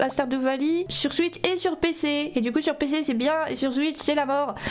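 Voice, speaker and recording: A woman's high voice at a fairly slow pace over noticeable background noise. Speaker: vtuber, gaming streamer. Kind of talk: casual livestream commentary. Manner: animated.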